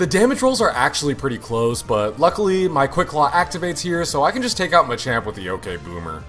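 Over music in the background, the speaker rushes along at a fairly quick pace with hardly any pauses and very wide pitch swings. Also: man. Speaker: gaming YouTuber. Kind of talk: gameplay commentary narration. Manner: upbeat.

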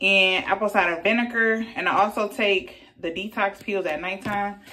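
Here a woman talks with a bright, sharp tone. Her intonation stays fairly even. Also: medium pitch for a woman, moderate pace.

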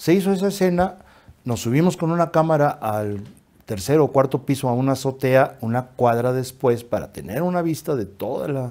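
This man's voice has a dark, mellow tone and moves at a moderate pace. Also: lively intonation. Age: 80s+. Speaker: acting school director. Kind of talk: interview. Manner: halting. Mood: relaxed anecdotal storytelling. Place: studio. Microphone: lapel.

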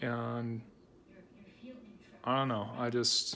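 Over music in the background, a man talks at a very slow pace with fairly even intonation. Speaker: restaurant reviewer. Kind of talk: casual vlog chat. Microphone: phone near.

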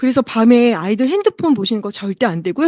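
The voice swings very widely in pitch, heard in a dry, close sound with no echo. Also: woman, quiet background. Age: 40s. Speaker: product presenter. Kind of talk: sales pitch. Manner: slow.

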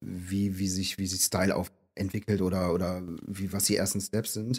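A man's fairly low voice at a fairly quick pace with fairly even intonation. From Rhineland, Aachen-Cologne region. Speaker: graffiti artist. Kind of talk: casual interview. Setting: in person by the sea. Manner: halting.

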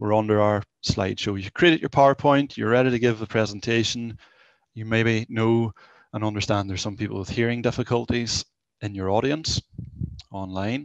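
The speech moves at a fairly quick pace. The sound is dry with no echo, and the background is quiet. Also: man, fairly even intonation. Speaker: college tech-enhanced learning mentor presenter; presenter. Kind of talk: live software demo presentation. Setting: video call with screen share. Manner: informal, conversational. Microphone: headset.

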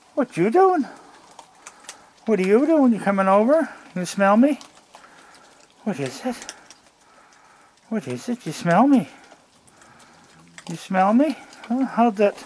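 Fairly slow speech with long, frequent pauses over light background noise. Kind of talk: casual vlog chat. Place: garden. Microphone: phone near.

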